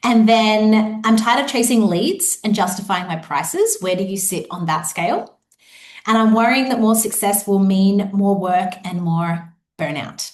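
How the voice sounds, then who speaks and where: A woman talks at a moderate pace with an Australian accent and a somewhat breathy voice. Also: medium pitch for a woman, ordinary pitch variation. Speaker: business coach. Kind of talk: live online workshop. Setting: live video webinar.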